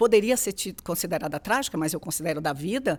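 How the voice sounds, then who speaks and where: A woman with a Bahian accent, vocal fry and lively intonation, in a very clean recording with a silent background. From Bahia, Brazil. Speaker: HR executive. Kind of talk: interview conversation.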